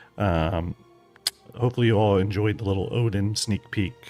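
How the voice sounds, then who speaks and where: A man speaks with music playing in the background. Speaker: gaming streamer. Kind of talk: live stream chat. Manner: hesitant, many fillers.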